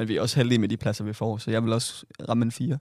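In a very clean recording with a silent background, a man talks at a very fast pace. His medium-pitched voice stays monotone and flat. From Southern Jutland, Denmark. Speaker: podcast co-host. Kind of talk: casual chat.

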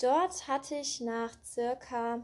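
This woman has a fairly high pitch and ordinary pitch variation. Her tone is calm and gentle. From Germany, Cologne. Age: 20s. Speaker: podcast host. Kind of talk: personal monologue. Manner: calm, gentle.

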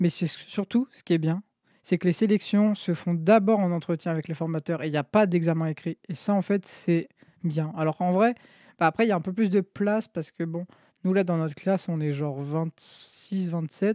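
Delivered at a moderate pace, the speech comes through on a very clean recording with a silent background. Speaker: podcast co-host, student. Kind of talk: casual chat.

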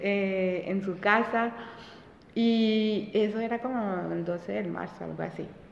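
Amid noticeable background noise and audible room echo, a woman talks very slowly at a medium pitch with fairly even intonation. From France, Colombia and Belgium; Colombian parents. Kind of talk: casual chat.

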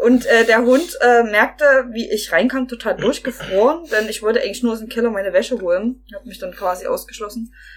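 Fairly high-pitched speech from a woman at a fairly quick clip, hardly any pauses, over noticeable background noise. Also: ordinary pitch variation, big swings in loudness. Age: 20s. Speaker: podcast guest. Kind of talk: casual chat.

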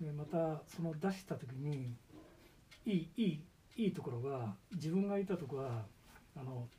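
With a dark, mellow tone and a somewhat breathy sound, a man speaks at a fairly high pitch with lively intonation and long, frequent pauses. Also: moderate pace. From Gifu, Japan. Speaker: rice farmer, retired utility worker. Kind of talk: interview.

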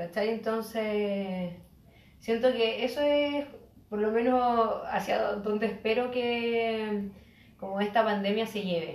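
With audible room echo around her, a woman speaks at a very slow pace and a fairly high pitch. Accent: Chilean. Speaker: podcast co-host. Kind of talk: casual chat.

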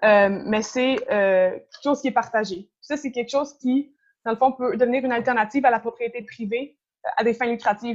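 The intonation is fairly even. It's a normal speaking voice. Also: woman. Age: 20s. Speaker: environmental activist. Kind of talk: interview.

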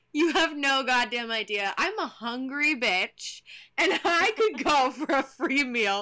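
In an American accent, a woman projects her high voice with lively intonation and a bright, sharp tone. She speaks at a fairly slow pace on a very clean recording with a silent background. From Texas. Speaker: podcast co-host. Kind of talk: casual chat.

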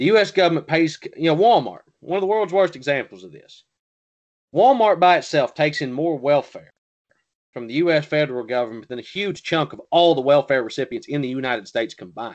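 A man with a Southern US accent, fairly high in pitch, with lively intonation, big swings in loudness and a fairly quick pace against a quiet background. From US South. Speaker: podcast co-host. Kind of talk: casual political discussion.

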